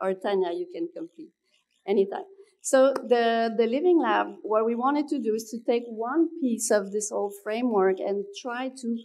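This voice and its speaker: Moving at a moderate pace, this voice pairs a dark, mellow tone with lively intonation. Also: woman, fairly high pitch for a woman. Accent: French. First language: French. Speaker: researcher. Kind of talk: conference presentation. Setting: conference at city hall.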